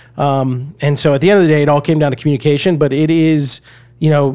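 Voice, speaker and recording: Using a plain, everyday voice, a man with an American accent speaks at a fairly quick pace with a fairly high pitch and fairly even intonation. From US South, Atlanta, Georgia. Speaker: media company CEO, former TV journalist. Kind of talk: interview conversation.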